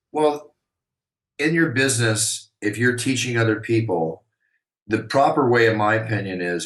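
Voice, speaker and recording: Here is a normal speaking voice at a fairly quick pace. The intonation is lively. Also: man. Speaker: arena announcer. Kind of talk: interview answer.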